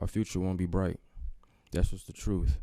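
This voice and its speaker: Here a man talks at a fairly quick pace. His voice has a fairly low pitch and a dark, mellow tone. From US Midwest, Kansas City, Missouri. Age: young. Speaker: community member speaking at public meeting. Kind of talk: public comment at meeting. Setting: public meeting room. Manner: animated.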